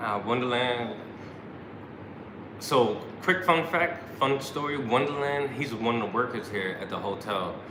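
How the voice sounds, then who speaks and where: A man with a New York accent at a medium pitch and fairly slow pace, long and frequent pauses, ordinary pitch variation, audible room echo and noticeable background noise. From New York City, Brooklyn. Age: 40s. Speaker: YouTube travel vlogger. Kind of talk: casual live stream chat.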